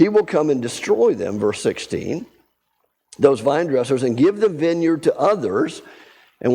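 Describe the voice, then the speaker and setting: His pitch is fairly high and swings very widely, with a dark, mellow tone. The man speaks at a moderate pace, and vocal fry comes through. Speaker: Bible study teacher. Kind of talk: Bible study lesson.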